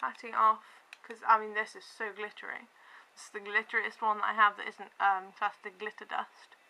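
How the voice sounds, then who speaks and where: Over noticeable background noise, a woman speaks fairly quickly at a fairly high pitch, her intonation flat and monotone while her loudness swings widely. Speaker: beauty vlogger. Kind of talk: makeup tutorial talk to camera. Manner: rambling, hesitant.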